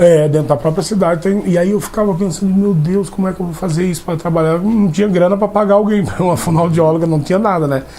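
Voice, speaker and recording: Over noticeable background noise, a man at a high pitch talks at a very fast pace with hardly any pauses and fairly even intonation. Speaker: actor. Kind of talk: interview. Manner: halting, with many restarts.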